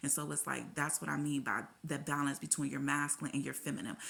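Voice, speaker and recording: A woman talks very fast with an animated tone, her voice very deep and low in pitch with vocal fry. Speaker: tarot reader. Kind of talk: tarot reading.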